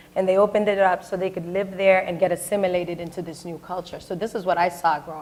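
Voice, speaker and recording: With an American accent, a woman speaks very fast at a medium pitch. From Boston, Dorchester. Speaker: state senator. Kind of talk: panel discussion. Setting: stage with audience. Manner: loud; animated.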